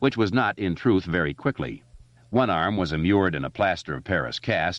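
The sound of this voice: Someone reads aloud in an unforced voice. The pitch moves in a lively way.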